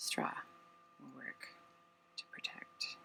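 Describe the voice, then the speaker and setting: A man speaks softly at a very slow pace. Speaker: watercolor painter. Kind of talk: casual supply tour to camera. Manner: soft-spoken.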